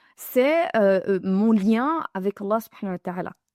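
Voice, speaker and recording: Recorded very clean with a silent background and a dry, close sound with no echo, a woman with a medium pitch and a dark, mellow tone speaks at a moderate pace. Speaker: religious teacher. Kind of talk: religious lesson to women. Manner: halting, repeats words.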